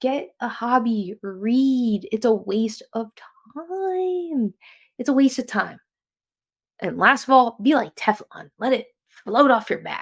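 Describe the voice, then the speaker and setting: A woman with an American accent and a high voice, lively intonation at a very slow pace. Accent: New Jersey accent, getting thicker. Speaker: podcast host. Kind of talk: casual solo podcast talk. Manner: casual, halting with self-corrections.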